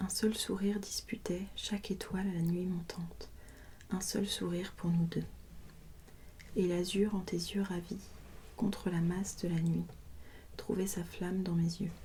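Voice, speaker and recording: Soft-spoken and calm in tone, a woman speaks somewhat breathily at a medium pitch and a fairly slow pace, with long, frequent pauses and a monotone, flat intonation. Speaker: ASMR creator. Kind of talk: poetry reading, sleep-inducing ASMR. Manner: soft-spoken, calm.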